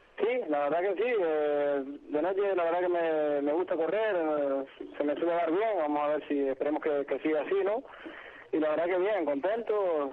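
A man with a plain, everyday voice speaks at a moderate pace in a fairly high pitch, his loudness very even and his pitch variation ordinary. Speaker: rally driver. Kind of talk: interview.

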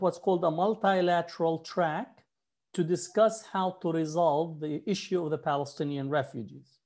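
The background is quiet. Speech moves at a fairly slow pace. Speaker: professor and scholar. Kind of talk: interview.

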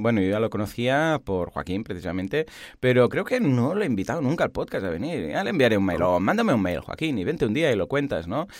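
A man speaks at a medium pitch and a fairly quick pace, with hardly any pauses. His pitch swings very widely. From Catalonia, Spain. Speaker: online course platform founder, podcast co-host. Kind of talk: casual tech chat. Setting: remote line.

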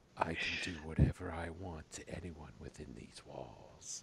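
Using a put-on character voice, a man speaks very deep and low, with a husky sound at a moderate pace. Clear background noise runs underneath. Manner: seductive, domineering.

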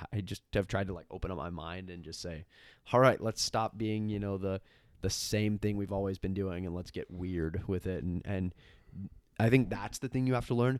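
A man with an American accent speaks in a plain, everyday voice at a fairly low pitch with ordinary pitch variation and a moderate pace. The recording is very clean, with a silent background. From Washington state. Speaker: graphic designer. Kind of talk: casual chat. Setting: in person at home.

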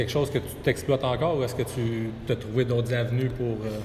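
A man talks at a fairly quick pace in a medium pitch with monotone, flat intonation. Noticeable background noise runs behind him. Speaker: podcast host. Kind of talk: interview. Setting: sports complex.

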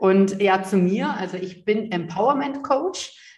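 A woman's somewhat breathy voice carries audible room echo. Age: 30s. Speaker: empowerment coach. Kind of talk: interview. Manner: animated.

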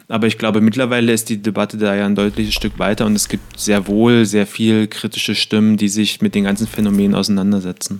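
A man talks at a very fast pace with hardly any pauses. His fairly low voice is monotone and flat, its loudness very even. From eastern Germany (Cottbus). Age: 20s. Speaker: podcast co-host. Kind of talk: casual chat.

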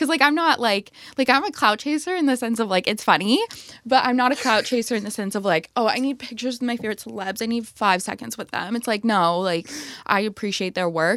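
Animated in tone, a woman speaks with a fairly high pitch and lively intonation. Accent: American. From US Midwest, Minneapolis. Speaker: music industry guest. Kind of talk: casual chat.

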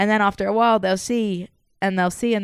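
In a very clean recording with a silent background, a woman with an English accent talks at a very fast pace at medium pitch, her intonation fairly even. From England. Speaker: soccer podcast co-host. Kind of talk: casual chat. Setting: home living room studio.

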